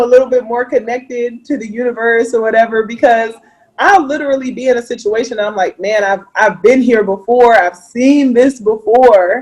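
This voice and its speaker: At a moderate pace, a woman with an American accent speaks at a high pitch. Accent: Mississippi accent, usually turned off. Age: 30s. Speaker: entrepreneur. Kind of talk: casual chat. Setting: video call.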